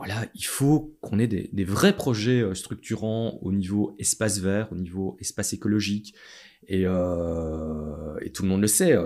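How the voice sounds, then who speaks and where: This voice has a dark, mellow tone. It moves at a fairly slow pace with lively intonation. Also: man. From Belgium, Châtelet (Charleroi area). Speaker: city chief architect. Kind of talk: interview. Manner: halting, many fillers and repetitions.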